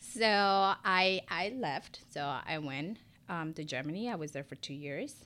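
On a very clean recording with a silent background, the speaker goes at a very slow pace with a Spanish accent. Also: woman. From Ecuador. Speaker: esthetician and lash business owner. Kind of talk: casual interview.

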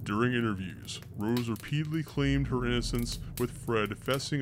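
A man speaks in a dramatic tone with music in the background. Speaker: podcast narrator. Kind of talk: true-crime narration, scripted and read aloud. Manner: grave, measured, darkly dramatic delivery; formal, storytelling cadence.

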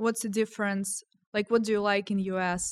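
In a Ukrainian accent, a woman speaks at medium pitch with monotone, flat intonation, the sound dry and close with no echo. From Ukraine, Kyiv. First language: Ukrainian or Russian. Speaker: software engineer. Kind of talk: casual chat.

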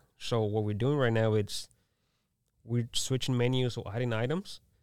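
Speaking in a Mexican accent, a man keeps a moderate pace at a medium pitch with ordinary pitch variation. The recording is very clean with a silent background and a dry, close sound with no echo. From Mexico. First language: Spanish. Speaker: restaurant owner. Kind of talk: casual interview.

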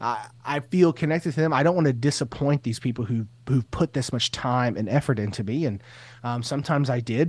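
A man talks at a fairly quick pace in a plain, everyday voice, medium in pitch with ordinary variation. The recording is very clean, with a silent background. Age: 30s. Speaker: teacher and assistant principal, podcaster. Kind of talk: interview, personal story.

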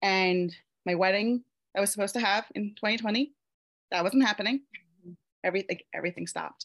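A woman with a Mid-Atlantic US accent speaks at a very fast pace in a medium pitch, with ordinary pitch variation, big swings in loudness and long, frequent pauses, in a dry, close sound with no echo. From Pennsylvania, US. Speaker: self-love coach and Reiki practitioner. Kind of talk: interview testimony.

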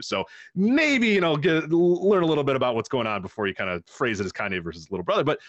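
A man talks at a very fast pace with very wide pitch swings. The sound is dry and close, with no echo. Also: quiet background. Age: 30s. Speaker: podcast host, guest on a music podcast. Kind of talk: casual chat. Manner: halting, many repeated words and fillers.

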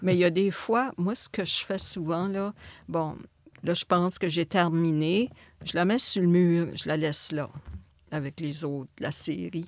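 Speaking at a fairly low pitch with ordinary pitch variation, a woman leaves long, frequent pauses in a very clean recording with a silent background. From northwestern New Brunswick, Acadia. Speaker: visual artist. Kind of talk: interview.

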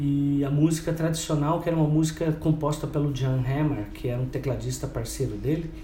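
A man's fairly high voice at a moderate pace, fairly even in intonation, with noticeable background noise and audible room echo. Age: 50s. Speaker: radio host and web radio founder. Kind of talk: casual interview.

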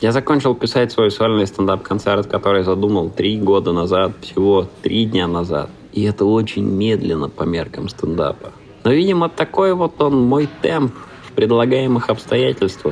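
A man's fairly low voice moves through very wide pitch swings. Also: moderate pace. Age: 30s. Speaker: stand-up comedian and creative producer. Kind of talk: scripted narration.

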